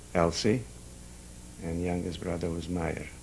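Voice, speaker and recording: With vocal fry and a very deep, low pitch, a man's voice carries an audible room echo. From Carpathian Ruthenia, near Chust. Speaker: Holocaust survivor. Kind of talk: oral history interview. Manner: halting, many hesitations.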